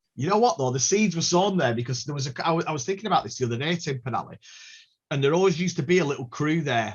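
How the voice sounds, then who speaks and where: In a Scottish accent, a man talks at a very fast pace. His pitch is fairly high. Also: lively intonation. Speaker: rave musician and producer. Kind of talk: casual chat. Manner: halting.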